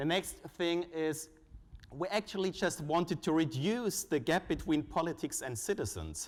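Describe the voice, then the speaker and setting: A man with a German accent and a high pitch, with ordinary pitch variation at a moderate pace. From Germany. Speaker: conference speaker, foundation researcher. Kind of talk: conference presentation. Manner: hesitant, with frequent uh fillers.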